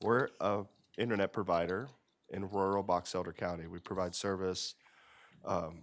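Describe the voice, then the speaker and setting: This man's voice is very deep and low. He speaks at a moderate pace with fairly even intonation. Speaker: business representative. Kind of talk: public comment at council meeting. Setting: county commission meeting. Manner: halting.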